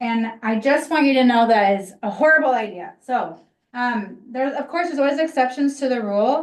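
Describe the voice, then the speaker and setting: A woman talks loudly at a fairly quick pace. Her pitch is high. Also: ordinary pitch variation. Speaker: social media instructor. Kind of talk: class workshop.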